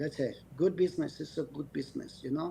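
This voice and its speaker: A man with a non-native accent and a dark, mellow tone speaks at a moderate pace. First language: not English. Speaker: dog breeder. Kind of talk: podcast interview. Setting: video call. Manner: halting.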